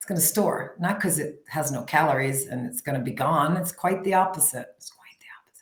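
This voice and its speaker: Fairly quick and with hardly any pauses, a woman speaks in a very deep, low voice that is somewhat breathy. Her tone is animated, her intonation lively, and her loudness swings widely. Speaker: health coach. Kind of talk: interview. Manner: fast.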